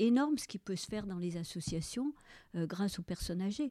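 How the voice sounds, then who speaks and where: A woman with a medium pitch and a dark, mellow tone is heard in a very clean recording with a silent background and a dry, close sound with no echo. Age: 70s. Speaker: retired senior civil servant. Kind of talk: interview. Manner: halting, frequent repetitions.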